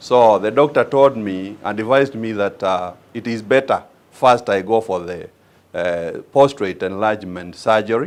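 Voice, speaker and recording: A man with a Kenyan accent speaks at a fairly slow pace. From Kenya, Machakos County. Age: 60s. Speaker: patient giving testimonial. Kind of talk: testimony. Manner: halting, many fillers.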